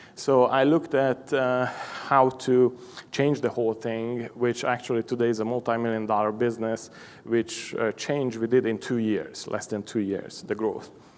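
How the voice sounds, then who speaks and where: A man talks with a Hungarian accent. His pace is moderate. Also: medium pitch for a man, fairly even intonation. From Hungary. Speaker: machine shop owner. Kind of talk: conference presentation. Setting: stage with audience. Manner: halting, many fillers.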